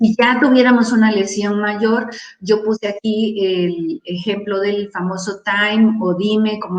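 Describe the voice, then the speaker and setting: A woman's ordinary speaking voice at a medium pitch, fairly slow in pace, with fairly even intonation. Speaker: wound care nurse speaker. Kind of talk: conference talk.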